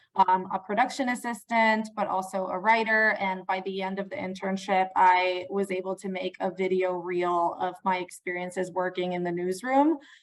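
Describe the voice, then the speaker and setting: Noticeable background noise surrounds a woman speaking at a medium pitch. She keeps a moderate pace with hardly any pauses and fairly even intonation. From Puerto Rico. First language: Spanish. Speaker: PR professional. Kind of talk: interview.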